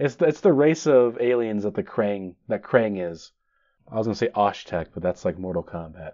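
A man with a plain, everyday voice, fairly low pitch, lively intonation and a moderate pace. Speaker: podcast host. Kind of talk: solo podcast monologue. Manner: self-deprecating, joking.

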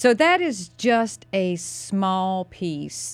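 Music plays in the background as a woman with a North Carolina accent speaks with lively intonation. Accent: Southern US (North Carolina). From US South, North Carolina (Mooresville). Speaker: county commissioner and political candidate. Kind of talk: radio interview, casual banter. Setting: radio studio.

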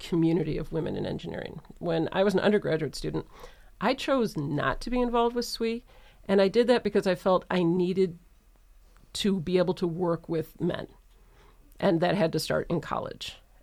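A woman with a plain, everyday voice speaks fairly quickly at a fairly low pitch, her pitch varying in an ordinary way. It is a very clean recording with a silent background. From Michigan, Metro Detroit. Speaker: engineering professor. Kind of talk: panel interview.

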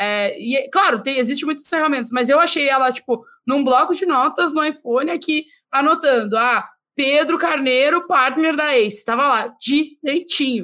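Raising and projecting her voice, a woman speaks at a high pitch and a moderate pace in a bright, sharp tone with ordinary pitch variation. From southern Brazil (Rio Grande do Sul). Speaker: podcast host. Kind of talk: casual chat.

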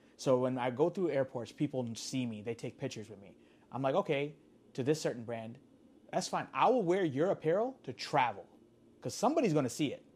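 A man's plain, everyday voice, fairly high in pitch, fairly quick, with lively intonation and big swings in loudness. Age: 30s. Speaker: sneaker collector and entrepreneur. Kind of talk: casual interview.

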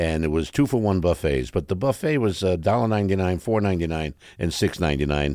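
Very deep and low in pitch, a man talks at a very fast pace with lively intonation. The recording is very clean, with a silent background. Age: 80s. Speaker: entertainment personality. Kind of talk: casual chat. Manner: animated.

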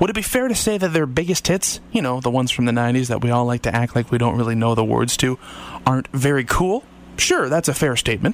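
A man with a Canadian accent speaks very fast at medium pitch with lively intonation. His loudness stays very even over noticeable background noise. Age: 30s. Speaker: radio host. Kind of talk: radio music show presenting. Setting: radio studio.

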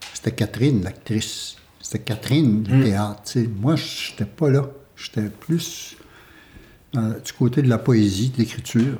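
A man with a medium pitch speaks at a fairly slow pace, his dark, mellow tone somewhat breathy and his pitch varying in an ordinary way. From Quebec, Huron village of Wendake. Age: 60s. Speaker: theatre company co-founder. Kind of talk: casual chat. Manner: halting.

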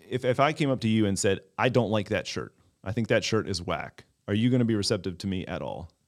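At a very fast pace, a man with an American accent speaks at a medium pitch with ordinary pitch variation. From Maryland, Baltimore County. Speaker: community developer. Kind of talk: casual chat.

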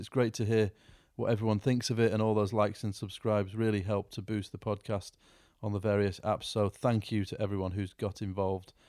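A man speaks very fast in a fairly low, flat monotone, on a very clean recording with a silent background. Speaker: podcast host. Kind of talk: casual interview.

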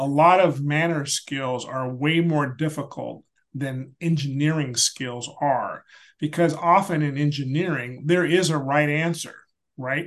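At a fairly slow pace, a man with a normal speaking voice talks with fairly even intonation and a fairly high pitch. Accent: American. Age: 60s. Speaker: retired space agency leader. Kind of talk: casual interview.

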